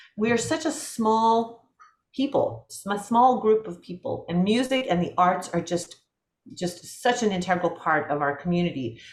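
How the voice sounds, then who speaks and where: At a moderate pace, a woman with a medium-pitched, somewhat breathy voice swings very widely in pitch and makes big jumps in loudness. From US West Coast (Portland, Oregon), Latvian-speaking home. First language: Latvian. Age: 50s. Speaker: film composer. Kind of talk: interview conversation. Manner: halting, many repetitions and fillers.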